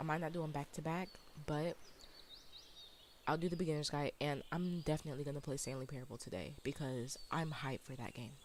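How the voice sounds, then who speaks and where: Quietly and at a very fast pace, a woman speaks with a very deep, low pitch and ordinary pitch variation. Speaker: video game streamer. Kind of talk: casual gameplay commentary. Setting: live stream.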